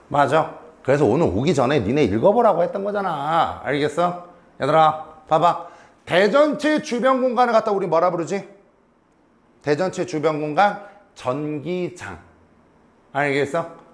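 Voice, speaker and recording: A man speaks quietly in a high voice, animated and with lively intonation. He leaves long, frequent pauses, and the room echo is audible. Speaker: high school physics teacher. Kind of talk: classroom lecture. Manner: animated, questioning students; slower and quieter for key points.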